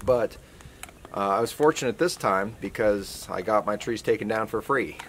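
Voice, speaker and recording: An American accent at a moderate pace with ordinary pitch variation, over noticeable background noise. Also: man, medium pitch for a man. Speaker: sawmill owner and woodworking vlogger. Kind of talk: outdoor how-to vlog. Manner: casual with frequent fillers; quiet, soft-spoken.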